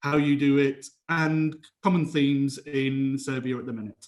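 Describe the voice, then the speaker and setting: A man with a British accent speaks at a fairly high pitch for a man, his intonation fairly even. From England. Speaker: lawyer and panel moderator. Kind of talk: conference panel moderation.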